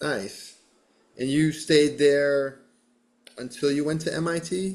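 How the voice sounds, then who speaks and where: A man's fairly high voice at a very slow pace, with ordinary pitch variation. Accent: American. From western Massachusetts. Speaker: podcast host. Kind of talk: casual interview.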